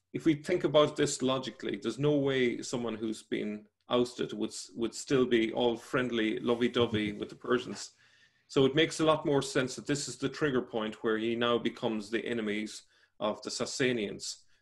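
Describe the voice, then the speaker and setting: The pace is moderate. A man talks with ordinary pitch variation. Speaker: remote guest. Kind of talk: interview answer. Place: home room. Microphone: video call.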